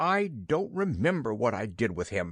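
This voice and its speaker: In a put-on character voice, a man sounds hoarse and raspy at a medium pitch, swinging very widely in pitch at a moderate pace against a quiet background. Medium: read story.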